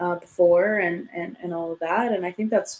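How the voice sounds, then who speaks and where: A woman's plain, everyday voice, medium in pitch, at a moderate pace with ordinary pitch variation. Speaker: podcast co-host. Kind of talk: casual chat.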